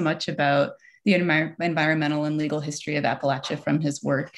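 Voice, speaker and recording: Talking at a very fast pace, a woman uses a fairly low pitch with ordinary pitch variation. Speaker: event moderator. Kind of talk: formal introduction of speakers. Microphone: video call.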